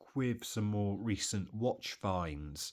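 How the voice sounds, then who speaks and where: On a very clean recording with a silent background, a man in an English accent makes very wide pitch swings. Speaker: watch collector video host. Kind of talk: casual show-and-tell vlog. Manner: casual, conversational.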